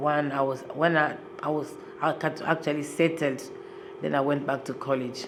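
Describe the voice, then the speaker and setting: In a room with audible echo and noticeable background noise, a woman with a very deep, low voice talks at a moderate pace in a flat monotone, leaving long, frequent pauses. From Congo. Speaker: human rights activist. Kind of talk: interview testimony.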